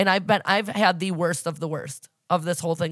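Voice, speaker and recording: Speaking at a moderate pace, a woman with a fairly low voice uses an animated tone. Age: 30s. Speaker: podcast host. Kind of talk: casual chat.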